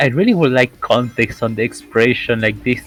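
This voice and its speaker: Over noticeable background noise, a man of medium pitch speaks at a moderate pace with ordinary pitch variation. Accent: non-native. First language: not English. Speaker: speedrun tournament commentator. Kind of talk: live commentary.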